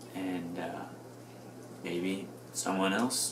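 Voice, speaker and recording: A man mumbles at a fairly low pitch. There is audible room echo and noticeable background noise. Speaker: video blogger. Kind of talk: casual monologue. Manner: mumbling; halting. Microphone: mic may not pick up well, quiet.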